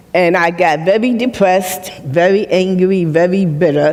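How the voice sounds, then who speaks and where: Noticeable background noise sits behind a woman with an American accent. She speaks at a moderate pace and a fairly low pitch. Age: 70s. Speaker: retired nurse and mental health speaker. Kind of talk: personal testimony on stage. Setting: stage with live audience.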